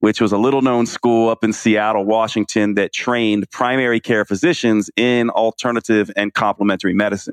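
Here is a man with a plain, everyday voice, fairly low in pitch and fairly even in intonation. He talks at a fairly quick pace against a quiet background. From New York (Queens), raised partly in US South. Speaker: naturopathic physician and author. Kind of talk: interview.

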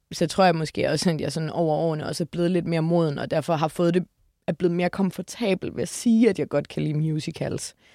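A woman's dark, mellow voice at a fairly low pitch with ordinary pitch variation, at a very fast pace, dry and close with no echo, on a very clean recording with a silent background. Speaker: musical enthusiast. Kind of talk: casual chat.

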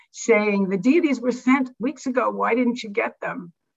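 The voice has ordinary pitch variation. Vocal fry runs through it. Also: woman. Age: 70s. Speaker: devotee sharing memories. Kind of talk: personal reminiscence talk.

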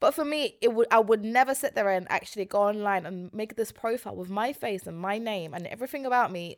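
A woman with a London accent speaks at a very fast pace and a fairly high pitch, animated, with ordinary pitch variation and big swings in loudness. The recording is very clean, with a silent background. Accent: London (multicultural London English). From West London. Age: 20s. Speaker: podcast guest. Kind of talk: casual chat. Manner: animated, laughing often.

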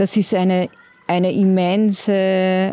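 The woman's tone is dark and mellow at a medium pitch. Her intonation stays monotone and flat. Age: 40s. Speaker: counselor for queer refugees. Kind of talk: interview. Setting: outdoors in a courtyard.

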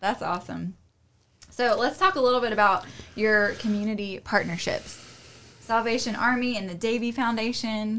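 This woman's voice has a bright, sharp tone, a moderate pace and ordinary pitch variation. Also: fairly high pitch for a woman. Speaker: podcast host. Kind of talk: casual interview.

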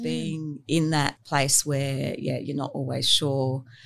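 Woman with an Australian accent at a fairly slow pace. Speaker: architect. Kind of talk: interview.

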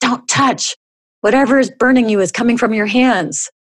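Using a put-on character voice, a woman hisses and growls at a fairly high pitch, keeping her loudness very even at a moderate pace. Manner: hissing.

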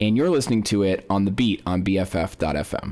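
Ordinary pitch variation marks a man's fairly low voice as he talks at a moderate pace. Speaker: radio host. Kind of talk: radio DJ patter, then casual chat. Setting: studio. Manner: casual, rambling, halting.

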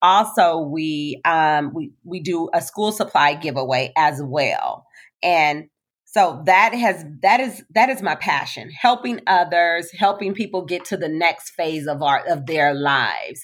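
A plain, everyday voice with an American accent and lively intonation, speaking at a fairly slow pace on a very clean recording with a silent background. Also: woman. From US West Coast, Compton, Los Angeles. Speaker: social worker and nonprofit leader. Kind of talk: interview testimony.

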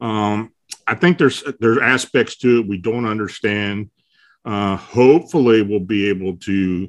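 With an ordinary speaking voice and an American accent, a man talks at a fairly slow pace, his pitch fairly low with ordinary pitch variation. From south-central Pennsylvania. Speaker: paranormal researcher and blogger. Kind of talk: casual interview.

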